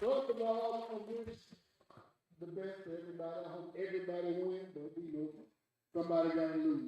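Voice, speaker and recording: A man with a Louisiana accent and a dark, mellow tone speaks at a fairly quick pace and high pitch, with ordinary pitch variation. His loudness swings widely, long, frequent pauses break up his speech, and room echo is audible. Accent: Southern US, Louisiana. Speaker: restaurant owner. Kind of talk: announcement to event crowd. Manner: animated.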